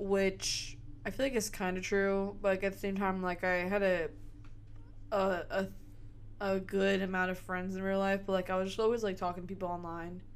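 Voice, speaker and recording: A woman speaks at a moderate pace and a medium pitch. Room echo is audible. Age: 20s. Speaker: podcast co-host. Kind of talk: casual chat.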